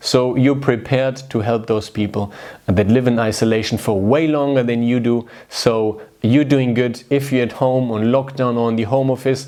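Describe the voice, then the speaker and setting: This man has a warm tone that is also dark and mellow, with a non-native accent and medium pitch. His intonation is fairly even and his pace moderate. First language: not English. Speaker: video host. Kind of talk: casual direct-to-camera talk. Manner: warm, conversational.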